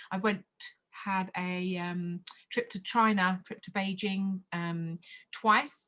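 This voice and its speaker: In a very clean recording with a silent background, a woman with an Australian accent speaks at a very slow pace in a monotone, flat intonation, with big swings in loudness. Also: medium pitch for a woman. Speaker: Mandarin teacher and choir leader. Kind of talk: interview. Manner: hesitant, many fillers.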